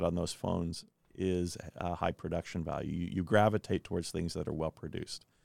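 The man's voice is very deep and low, with a US Midwestern accent and fairly even intonation. He keeps a moderate pace, and the sound is dry and close with no echo. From Kansas, US Midwest. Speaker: education technology founder. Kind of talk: interview.

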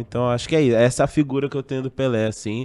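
There is ordinary pitch variation as a man speaks against a quiet background. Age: 30s. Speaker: radio sports commentator. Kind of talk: panel discussion.

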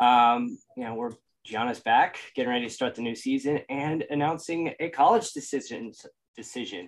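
Speaking at a moderate pace, a man has an unremarkable speaking voice with a fairly high pitch and ordinary pitch variation. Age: 30s. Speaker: sports podcast host. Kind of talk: casual chat. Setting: video recording.

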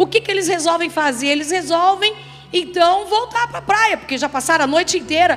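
Noticeable background noise behind a fairly quick delivery. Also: woman, extremely high pitch for a woman, ordinary pitch variation. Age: middle-aged. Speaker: pastor. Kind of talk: sermon. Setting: church.

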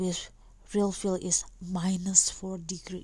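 A soft-spoken woman talks at a medium pitch. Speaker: podcast host. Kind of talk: casual interview. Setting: home recording at night.

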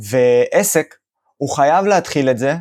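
Lively intonation marks this voice, which keeps to a moderate pace. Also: man. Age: 30s. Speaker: digital marketing agency owner. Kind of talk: interview. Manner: halting, many fillers.

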